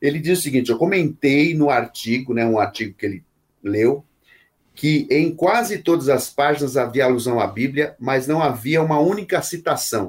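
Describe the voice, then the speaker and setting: A man's fairly high-pitched, ordinary speaking voice with lively intonation at a moderate pace, on a very clean recording with a silent background. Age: 50s. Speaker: pastor and author. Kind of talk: interview.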